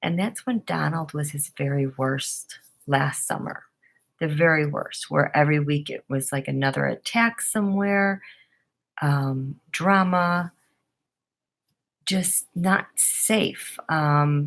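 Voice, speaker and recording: With an American accent, a woman speaks at a very slow pace in a very deep, low pitch, using ordinary pitch variation and long, frequent pauses. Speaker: tarot reader. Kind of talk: casual monologue. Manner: halting, many fillers.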